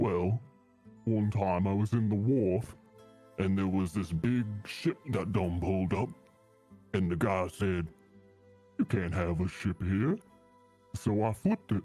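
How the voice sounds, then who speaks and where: A man's put-on character voice, fairly low in pitch and fairly slow, with long, frequent pauses and faint music in the background. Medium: actual play. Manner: friendly, folksy.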